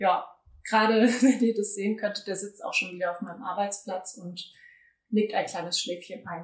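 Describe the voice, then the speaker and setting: A woman speaks at a moderate pace, her voice somewhat breathy. Her pitch varies in an ordinary way. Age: 20s. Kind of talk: casual interview chat.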